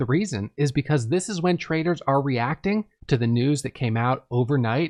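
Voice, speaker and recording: Over a quiet background, a man with an American accent speaks in an ordinary speaking voice at medium pitch. His intonation is lively, his pace moderate, and the sound dry and close with no echo. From US Northeast, Vermont. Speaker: author and day trader. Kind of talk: audiobook narration of own book.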